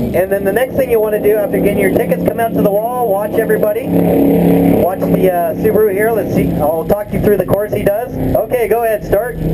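A man talking at a fairly quick pace with hardly any pauses, over loud background noise. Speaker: event announcer. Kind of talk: commentary.

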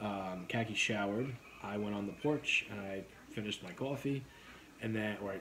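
Over light background noise, a man speaks with a fairly low pitch. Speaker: vlogger. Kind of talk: casual vlog chat. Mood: relaxed, laughing. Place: home room.

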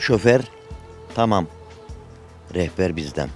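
Fairly slow speech in a dry sound with no echo, faint music in the background. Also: man. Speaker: interviewee, local villager. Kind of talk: interview answer. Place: street. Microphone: handheld.

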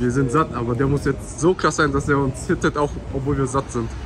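A man at a moderate pace, with ordinary pitch variation and noticeable background noise. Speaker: food vlogger. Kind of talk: casual vlog chat. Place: shop. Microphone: phone near.

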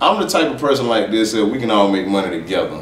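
With audible room echo and light background noise, a man speaks at a very fast pace and a fairly low pitch. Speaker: guest. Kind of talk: interview answer. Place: home room.

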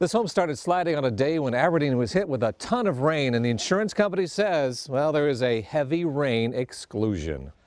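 In a quiet background, a man with an unremarkable speaking voice and fairly high pitch talks at a fairly quick pace with hardly any pauses and very even loudness. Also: lively intonation. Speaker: TV news reporter. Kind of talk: TV news report narration.

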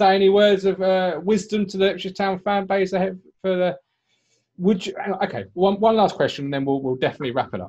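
A man talks at a very fast pace with a high pitch and ordinary pitch variation. The background is quiet. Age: 30s. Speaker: football podcast host. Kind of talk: casual interview; interview question. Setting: remote call during lockdown. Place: home room. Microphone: video call.

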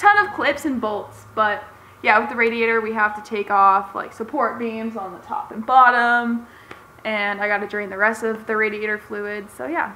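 A woman's intonation stays fairly even as she speaks at a moderate pace. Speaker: car DIY vlogger. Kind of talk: casual vlog chat. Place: garage. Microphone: phone near.

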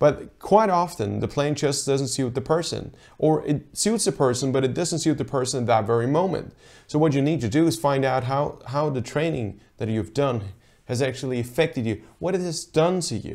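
The background is quiet while a man speaks at a moderate pace. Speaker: rowing coach. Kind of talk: tutorial. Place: office. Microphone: lapel.

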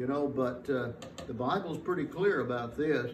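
A man with ordinary pitch variation, amid light background noise and audible room echo. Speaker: pastor. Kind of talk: sermon. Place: church. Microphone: podium.

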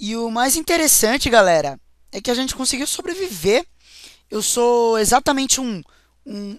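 A man with a Brazilian accent speaks at a fairly slow pace, his pitch extremely high and his tone animated with lively intonation. The recording is very clean, with a silent background. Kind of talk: let's play commentary.

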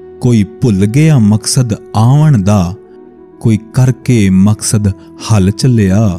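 A man speaks at a fairly low pitch with very even loudness. Faint music plays in the background. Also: ordinary pitch variation. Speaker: voice-over artist. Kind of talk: poetry reading. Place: studio.

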